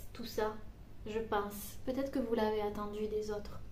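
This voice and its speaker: Soft-spoken and very slow, a woman talks with fairly even intonation amid audible room echo and noticeable background noise. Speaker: psychic medium doing card readings. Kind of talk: tarot card reading guidance. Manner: soft, gentle; hesitant, many fillers.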